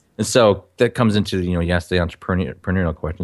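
A man's very deep, low voice with an American accent, ordinary pitch variation and a very fast pace, on a very clean recording with a silent background. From Minnesota. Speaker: film director and producer. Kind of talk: interview conversation.

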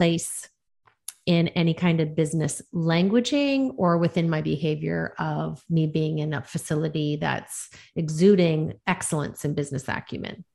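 A woman with a normal speaking voice talks at a moderate pace and a fairly low pitch. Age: 50s. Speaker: executive coach. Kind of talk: interview.

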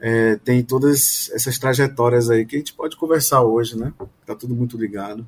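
A man with an unremarkable speaking voice talks at a moderate pace, his medium pitch carrying fairly even intonation. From Pará, Brazil (Belém). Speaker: family doctor and university lecturer. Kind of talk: casual interview discussion.

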